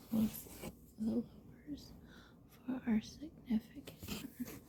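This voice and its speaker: Whispering quietly, the speaker goes at a very slow pace. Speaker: tarot reader and hobby vlogger. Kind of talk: tarot reading with read-out card meanings.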